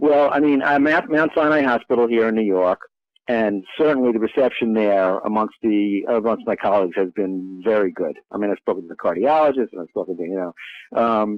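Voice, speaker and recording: With a plain, everyday voice, a man speaks at a fairly quick pace in a medium pitch with ordinary pitch variation. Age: 60s. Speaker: physician and diet book author. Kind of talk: interview. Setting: studio.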